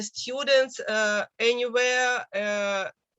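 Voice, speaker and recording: A woman with a Russian accent speaks at a high pitch with ordinary pitch variation. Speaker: university teacher. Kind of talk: academic class discussion. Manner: halting.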